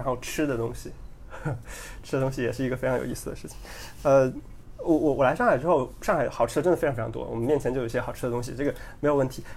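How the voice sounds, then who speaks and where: A man talks at a very fast pace, yet with long, frequent pauses. His medium-pitched voice keeps a fairly even intonation. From China, Henan province. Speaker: podcast guest, engineer. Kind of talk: casual chat.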